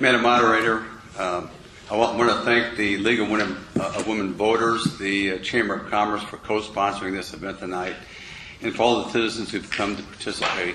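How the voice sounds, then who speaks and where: A man with an American accent talks at a fairly quick pace in a fairly low, monotone, flat voice, with audible room echo and noticeable background noise. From Kansas City, US Midwest. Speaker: political candidate. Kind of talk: candidate forum opening statement. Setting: public forum with audience.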